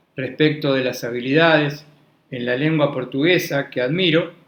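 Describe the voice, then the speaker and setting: Audible room echo surrounds a man as he speaks. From Argentina. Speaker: law professor. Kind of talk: lecture. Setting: university classroom, also streamed online. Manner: formal; hesitant, repeats words.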